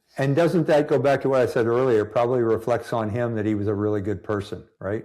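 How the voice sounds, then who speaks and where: A man with a Midwestern US accent talks at a very fast pace. His tone is dark and mellow, his pitch medium with ordinary variation. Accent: US Midwest. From Missouri, US. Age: 70s. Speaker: retired army general and MBA instructor. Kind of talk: interview conversation.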